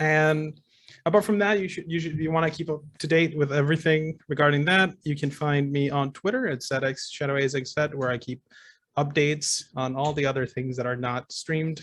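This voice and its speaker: Speaking in a non-native accent, a man with a fairly high pitch and ordinary pitch variation moves at a fairly quick pace. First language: not English. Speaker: tabletop game player and streamer. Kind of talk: casual self-introduction. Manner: halting, many repeats.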